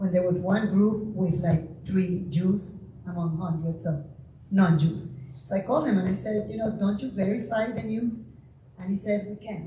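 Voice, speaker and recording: A woman with a Venezuelan accent talks with ordinary pitch variation amid noticeable background noise and audible room echo. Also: medium pitch for a woman, moderate pace. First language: Spanish. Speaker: audience member asking a question. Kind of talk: audience question.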